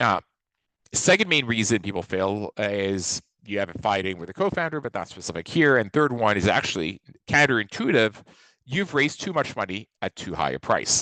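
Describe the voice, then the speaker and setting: A man's voice with a fairly low pitch, very wide pitch swings and a bright, sharp tone, dry and close with no echo, over a quiet background. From southeastern France (Nice). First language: French. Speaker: venture investor. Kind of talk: webinar presentation. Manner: fast.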